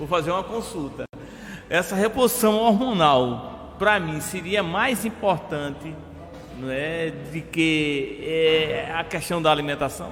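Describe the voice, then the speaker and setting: Against noticeable background noise, a man talks very slowly in a high voice with lively intonation. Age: 60s. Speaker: TV interviewer, former athlete. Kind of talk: interview. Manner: halting.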